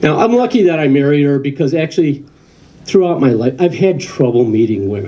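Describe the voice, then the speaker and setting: A man with an American accent, fairly high pitch and a dark, mellow tone, very wide pitch swings, a fairly quick pace and audible room echo. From Western New York. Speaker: comedian. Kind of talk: stand-up. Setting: stage with audience.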